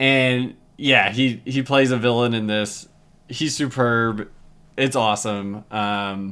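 A man talks at a fairly slow pace at medium pitch with fairly even intonation. The recording is very clean, with a silent background. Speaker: podcast host, film reviewer. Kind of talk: casual solo monologue, movie review. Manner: informal, lots of fillers.

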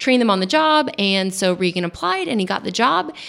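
A woman with an American accent speaks at a fairly quick pace in a plain, everyday voice of medium pitch. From Long Island, New York. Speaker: vineyard owner. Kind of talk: radio interview. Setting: radio studio.

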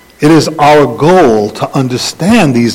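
Noticeable background noise sits behind the speaker. A man talks at a fairly slow pace. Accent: American. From US Northeast (the Bronx, New York City). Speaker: rabbi. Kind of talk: sermon. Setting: congregation with slides. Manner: halting.

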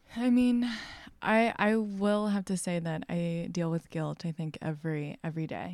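A woman with an American accent has an unremarkable speaking voice, fairly low in pitch with ordinary variation. She talks at a moderate pace in a very clean recording with a silent background. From Texas. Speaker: textile artist. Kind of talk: casual interview. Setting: artist studio.

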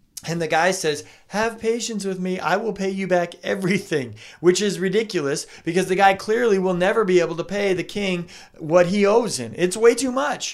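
Animated in tone, a man speaks at a moderate pace with a high pitch. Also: ordinary pitch variation. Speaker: pastor. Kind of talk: sermon. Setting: church.

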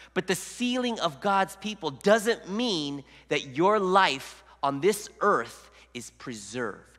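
This man has a high pitch. His tone is bright and sharp. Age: 40s. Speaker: lay preacher. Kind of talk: sermon. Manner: halting.

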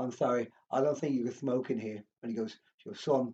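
A man talks at a fairly quick pace in an English accent. His pitch is medium. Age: 40s. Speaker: former professional boxer and hospitality manager. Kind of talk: casual chat.

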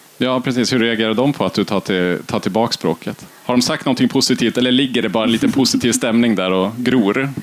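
With hardly any pauses, a man talks at a fairly quick pace and medium pitch in an unremarkable speaking voice. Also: fairly even intonation. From northern Sweden, Kiruna area. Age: 30s. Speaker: podcast host. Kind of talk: interview. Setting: festival stage with live audience.

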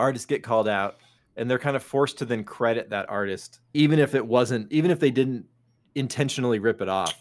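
At a fairly quick pace, a man speaks in a normal speaking voice with ordinary pitch variation, on a very clean recording with a silent background. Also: medium pitch for a man. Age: 40s. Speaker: podcast co-host. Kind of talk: casual chat.

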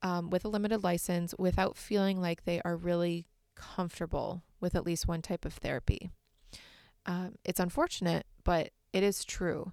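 Monotone, flat intonation with an American accent. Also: woman, fairly low pitch for a woman, moderate pace, very clean recording, silent background. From Michigan, US Midwest. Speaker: therapist and podcast host. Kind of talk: solo podcast talk with tips.

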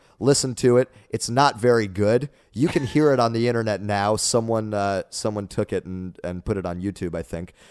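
A man with an American accent speaks at a moderate pace with hardly any pauses, in a fairly low pitch with ordinary variation, in a very clean, dry, close recording with a silent background and no echo. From Dallas, Texas area. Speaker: improvisational musician and comedian. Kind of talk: casual interview chat. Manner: well spoken, jokey.

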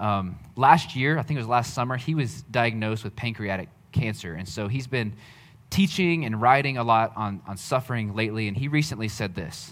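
A plain, everyday voice from a man at a fairly quick pace with ordinary pitch variation. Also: medium pitch for a man. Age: 30s. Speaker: pastor. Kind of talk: sermon. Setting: church.

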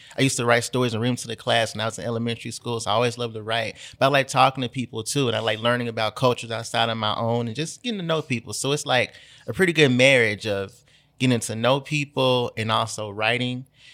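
This man talks at a very fast pace with a Memphis accent and a bright, sharp tone. His pitch sits in the medium range for a man, the intonation is fairly even, and the recording is very clean with a silent background. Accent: Southern US (Memphis). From Memphis, Tennessee. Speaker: journalist and writer. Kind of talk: casual chat.

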